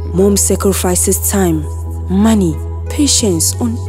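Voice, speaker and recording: Against music in the background, a woman speaks at a very slow pace in a very deep, low pitch. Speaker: spoken word poet. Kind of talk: spoken word poetry performance.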